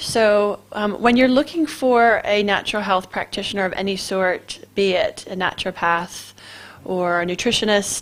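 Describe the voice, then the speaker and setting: A woman with an American accent talks at a moderate pace in a fairly high pitch, with an ordinary speaking voice. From US East Coast, Maryland. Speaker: clinical nutritionist and radio show host. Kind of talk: casual radio talk.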